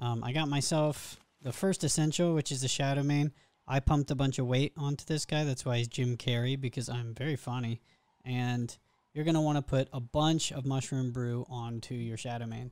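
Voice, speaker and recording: A man at a moderate pace, fairly even in intonation, against a quiet background. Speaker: gamer making a guide. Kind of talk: tutorial. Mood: relaxed, lightly joking. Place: home room. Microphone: studio mic.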